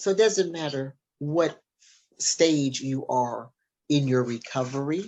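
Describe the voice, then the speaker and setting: A woman with a very deep, low voice and an American accent. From Minnesota. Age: 60s. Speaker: author and recovery speaker. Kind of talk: interview testimony. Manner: animated.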